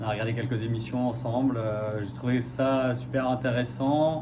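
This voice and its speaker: Noticeable background noise and audible room echo fill the recording. A man with a medium pitch talks at a fairly slow pace in a monotone, flat intonation. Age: 40s. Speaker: radiology technician, reality show applicant. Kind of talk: casting video self-presentation. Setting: self-filmed video. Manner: hesitant, many fillers.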